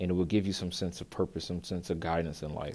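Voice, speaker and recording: This man's voice sits very deep and low. His intonation is fairly even. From Philadelphia, US. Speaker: podcaster and author. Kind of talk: solo personal storytelling monologue.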